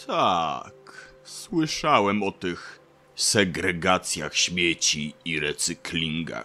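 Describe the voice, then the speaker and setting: A man puts on a gruff character voice with a very deep, low pitch. He speaks at a very slow pace over faint music in the background. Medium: audio drama. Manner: very slow, measured; gruff, reserved.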